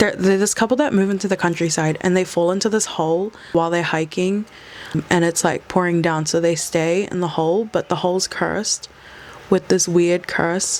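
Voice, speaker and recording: Through noticeable background noise, a woman with a fairly low pitch speaks at very even loudness. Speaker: film review vlogger. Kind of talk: casual vlog review. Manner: fast; animated.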